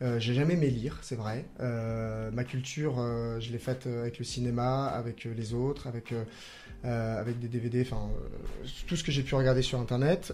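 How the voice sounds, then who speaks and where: A man with a dark, mellow tone and a medium pitch speaks at a moderate pace with fairly even intonation. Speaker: improv comedian; primary school teacher. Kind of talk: radio interview answer.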